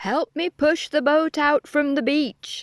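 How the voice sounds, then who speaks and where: Fairly slow pace in a put-on character voice. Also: woman. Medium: read story. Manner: friendly, patient.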